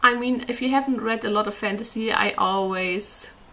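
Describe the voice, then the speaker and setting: A woman speaks with a non-native accent at a moderate pace. Her pitch is fairly high, with ordinary variation. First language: not English. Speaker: book reviewer. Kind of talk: casual book review monologue.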